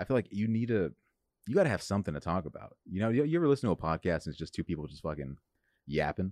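A man with an American accent talks very fast in a very deep, low voice, his pitch swinging very widely. The recording is very clean with a silent background. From Los Angeles, California. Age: 20s. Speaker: comedian. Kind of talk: casual chat. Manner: animated.

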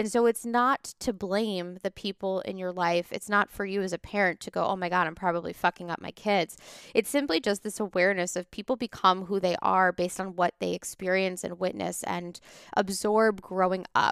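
A woman with a medium pitch speaks at a moderate pace, in an unremarkable speaking voice. Her intonation is fairly even, and the sound is dry and close with no echo. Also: very clean recording, silent background. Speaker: business coach and podcast host. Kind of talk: personal testimony monologue.

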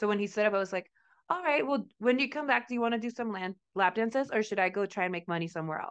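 Her voice fairly high with lively intonation, a woman talks at a very fast pace against a quiet background. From Mexico. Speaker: podcast co-host, stripper. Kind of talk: casual chat.

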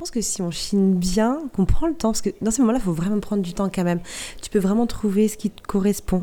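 A woman speaks at a medium pitch in a dark, mellow tone with ordinary pitch variation. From Normandy (Cotentin, Val de Saire). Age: 30s. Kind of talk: interview.

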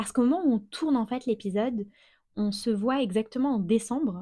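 A woman with a dark, mellow tone and a somewhat breathy voice speaks at a moderate pace in a very clean recording with a silent background. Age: 30s. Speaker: podcast host. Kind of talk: interview; scripted narration.

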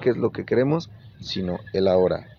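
Over noticeable background noise, a man with a Mexican accent talks at a moderate pace with lively intonation. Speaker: radio show host. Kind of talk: casual advice talk show. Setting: on a moving bus.

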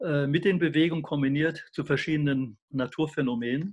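A man's fairly high, somewhat breathy voice at a moderate pace against a quiet background. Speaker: health researcher. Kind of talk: interview. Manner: animated.

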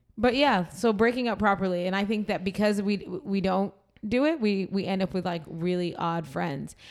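In a very clean recording with a silent background, a woman with an American accent speaks in a plain, everyday voice at medium pitch, with ordinary pitch variation and a moderate pace. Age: 30s. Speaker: podcast host. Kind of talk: casual chat.

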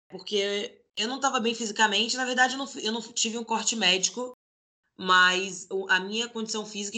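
This is an unremarkable speaking voice, moving at a fairly quick pace. Its pitch rises and falls in an ordinary way. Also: woman. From Brazil, Salvador (Bahia), then Rio de Janeiro from age 12. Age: 20s. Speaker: professional basketball player. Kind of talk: interview.

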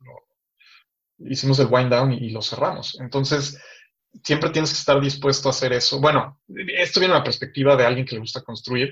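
A man's fairly high pitch and fairly even intonation at a fairly quick pace, with big swings in loudness and long, frequent pauses. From Mexico City. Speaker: tech startup founder. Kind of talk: interview.

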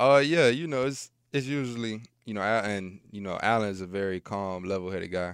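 A man with a fairly low pitch and a plain, everyday voice, ordinary pitch variation, a fairly quick pace, and a very clean recording with a silent background. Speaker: pro football player. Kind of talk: casual chat. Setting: studio.

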